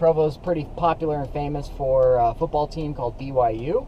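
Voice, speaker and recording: There is noticeable background noise. A man with an American accent speaks at a fairly high pitch. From Northern California, Sacramento area. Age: 30s. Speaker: cycling vlogger. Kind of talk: casual vlog monologue.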